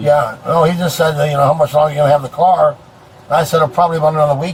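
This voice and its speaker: Noticeable background noise runs beneath the clip. Over it, a man speaks very fast. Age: 60s. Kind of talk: roadside conversation with police.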